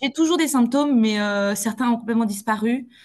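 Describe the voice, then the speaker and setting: Very fast, somewhat breathy speech from a woman. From Belgium. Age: 20s. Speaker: clinical psychologist. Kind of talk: interview answer.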